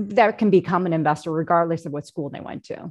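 Against a quiet background, a woman with an unremarkable speaking voice and an American accent talks with lively intonation. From US, Korean American household. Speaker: bond portfolio manager. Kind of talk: panel discussion.

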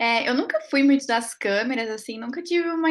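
The recording is very clean with a silent background as a woman speaks with ordinary pitch variation. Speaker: PhD student. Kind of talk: podcast interview.

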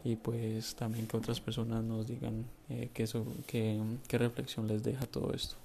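A man of medium pitch, somewhat breathy, with a dark, mellow tone, monotone and flat intonation, and a fairly slow pace. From Colombia. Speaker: listener sending voice message. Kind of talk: recorded voice message.

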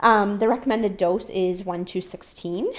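In a Canadian accent, a woman with an unremarkable speaking voice talks at a fairly slow pace with ordinary pitch variation. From rural Ontario, Canada. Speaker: barista. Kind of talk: casual chat.

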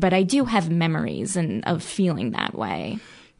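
Very wide pitch swings with an American accent, over noticeable background noise. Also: woman. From New Jersey, near Philadelphia. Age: 30s. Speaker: podcast guest. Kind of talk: personal testimony.

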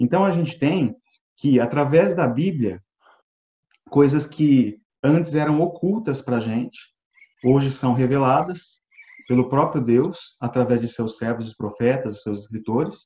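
Somewhat breathy, with a dark, mellow tone, a man speaks at a fairly slow pace and medium pitch with ordinary pitch variation. His loudness swings widely, and long pauses come often. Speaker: Bible study participant. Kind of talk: Bible study discussion. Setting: video call from home.

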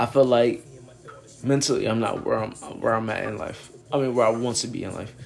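A man at a fairly quick pace with long, frequent pauses, flat monotone intonation and audible room echo. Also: medium pitch for a man. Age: 30s. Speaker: podcast host. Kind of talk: casual monologue. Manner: rambling, hesitant with many fillers.

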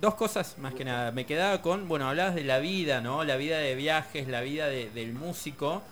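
An unremarkable speaking voice from a man, fairly high in pitch, with ordinary pitch variation, a moderate pace and hardly any pauses. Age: 20s. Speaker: radio co-host. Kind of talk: interview.

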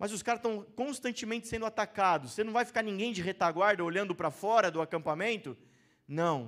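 A man with a Brazilian accent speaks in an animated tone at a fairly quick pace and a high pitch. His pitch variation is ordinary, and the recording is very clean with a silent background. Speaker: preacher. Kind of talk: sermon. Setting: church. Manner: conversational, animated preaching, pausing to engage the congregation; informal, rhetorical questions and call-and-response.

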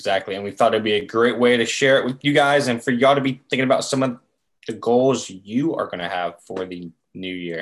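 A man with an American accent speaks at a fairly quick pace, medium-pitched with ordinary pitch variation, in a plain, everyday voice. The background is quiet. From North Carolina, Chapel Hill. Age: 20s. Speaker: podcast co-host, grad student. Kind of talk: casual chat.

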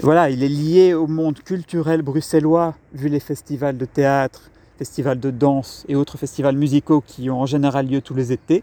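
At a moderate pace, a man with fairly high pitch and a dark, mellow tone speaks with fairly even intonation in a dry, close sound with no echo. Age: 30s. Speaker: podcast host and communication coach. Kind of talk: solo podcast introduction. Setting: outdoors in a park.

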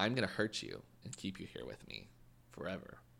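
At a fairly quick pace, a man delivers a put-on character voice pitched fairly low for a man. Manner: menacing.

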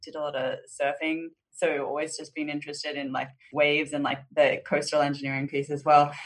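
A woman's very deep, low voice at a fairly quick pace, flat and monotone, with big swings in loudness. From Australia, Southeast Queensland. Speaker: insurtech company CEO and co-founder. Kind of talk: interview.

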